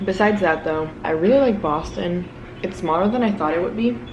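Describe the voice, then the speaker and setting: A woman with a fairly low pitch talks at a fairly quick pace. Audible room echo and noticeable background noise fill the recording. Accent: American. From South Florida. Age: 20s. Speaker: vlogger and grad student. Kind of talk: casual vlog monologue.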